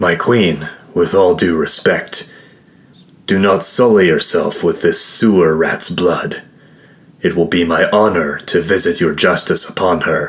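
In a menacing, growling tone, a man speaks at a very deep, low pitch and a fairly slow pace, his loudness very even. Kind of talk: fantasy audio drama. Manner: growling, menacing.

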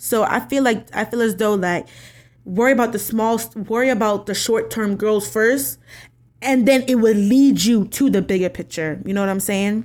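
A woman with an American accent speaks at a moderate pace in an ordinary speaking voice, her pitch fairly high with ordinary variation. The recording is very clean, with a silent background. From New York. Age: 20s. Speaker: podcast host. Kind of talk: casual solo podcast talk.

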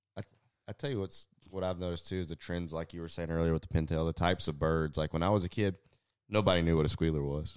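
A man speaks at a very fast pace with a Southeast Texas accent and a very deep, low pitch. His intonation is fairly even, and the sound is dry and close with no echo. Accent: Southeast Texas Southern US. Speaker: fishing pro staffer and hunter. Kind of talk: casual chat. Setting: home, over dinner and whiskey.

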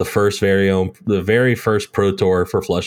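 A man with a plain, everyday voice and a fairly low pitch talks at a fairly slow pace with fairly even intonation. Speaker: podcast host. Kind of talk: casual chat.

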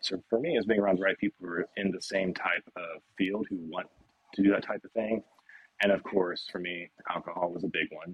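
A man's fairly low voice with an American accent, a plain, everyday voice at a fairly quick pace with fairly even intonation. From US South, Nashville, Tennessee. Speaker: fitness coach. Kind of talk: interview.

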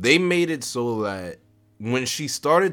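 Over music in the background, a man speaks at a fairly slow pace in an animated tone with very wide pitch swings. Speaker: podcast host. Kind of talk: casual monologue.

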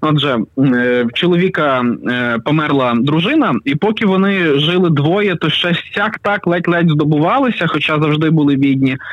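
Noticeable background noise sits under speech delivered at a moderate pace, with very even loudness and ordinary pitch variation. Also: man, fairly high pitch for a man. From western Ukraine, Pokuttia. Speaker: writer and youtuber. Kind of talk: storytelling; casual interview. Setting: phone call.

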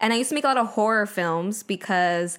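A woman talks at a fairly quick pace in an unremarkable speaking voice of medium pitch. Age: 20s. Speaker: filmmaker and podcast co-host. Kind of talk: casual chat.

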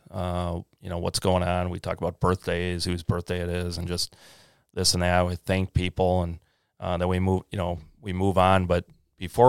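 A man speaks at a moderate pace in a very deep, low voice with monotone, flat intonation. The recording is very clean, dry and close, with a silent background and no echo. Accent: American. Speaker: greenhouse business owner. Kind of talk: interview. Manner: halting.

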